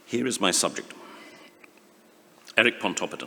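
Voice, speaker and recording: Noticeable background noise is present. Against it, a man talks at a moderate pace. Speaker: conference speaker. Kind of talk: academic conference talk. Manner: halting.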